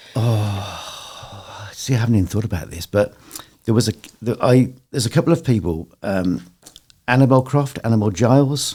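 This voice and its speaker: A somewhat breathy quality runs through the voice. It carries a dark, mellow tone. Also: man, medium pitch for a man, ordinary pitch variation, moderate pace. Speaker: radio presenter. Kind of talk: casual chat.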